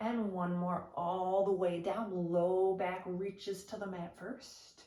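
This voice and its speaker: At a very slow pace, a woman speaks in a flat, monotone way. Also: medium pitch for a woman. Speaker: Pilates instructor. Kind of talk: exercise class instruction. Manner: encouraging, guiding.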